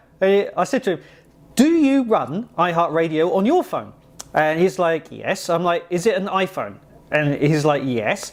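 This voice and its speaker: With an English accent, a man speaks at a moderate pace. His pitch is high and his intonation lively. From England. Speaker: software developer vlogger. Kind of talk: casual vlog storytelling. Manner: conversational with many fillers.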